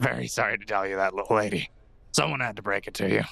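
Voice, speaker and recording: A man rattles off lines at a very fast pace in a raspy, put-on character voice, fairly low in pitch with lively intonation. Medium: actual play. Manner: dry, curt.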